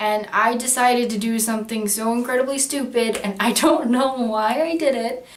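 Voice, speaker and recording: With noticeable background noise, a woman speaks in a high voice at a moderate pace, with fairly even intonation and hardly any pauses. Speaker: gamer recounting an anecdote. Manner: casual, conversational storyteller.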